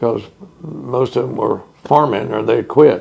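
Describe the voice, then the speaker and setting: With a Texan accent, a man at medium pitch speaks at a fairly slow pace with ordinary pitch variation. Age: 70s. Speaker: oral history interviewee. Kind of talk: oral history interview. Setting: museum house.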